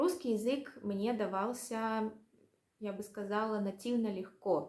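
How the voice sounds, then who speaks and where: Fairly high-pitched speech from a woman at a very slow pace. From Russia. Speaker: language vlogger. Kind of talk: casual vlog monologue. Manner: hesitant, many fillers.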